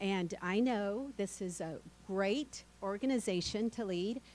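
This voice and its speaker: Medium-pitched female voice, a normal speaking voice with ordinary pitch variation. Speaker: county administrator. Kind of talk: meeting opening remarks.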